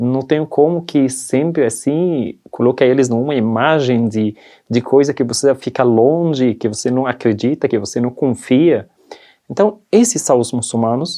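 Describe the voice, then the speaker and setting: The speaker has a non-native accent. Delivery is fairly slow, with ordinary pitch variation. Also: man, medium pitch for a man. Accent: foreign accent in Portuguese. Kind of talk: testimony interview in church. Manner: halting, non-native phrasing.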